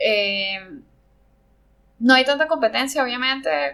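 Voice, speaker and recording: A woman with a bright, sharp tone and lively intonation. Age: 30s. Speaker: ceramic artist. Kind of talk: interview conversation. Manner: halting, many fillers.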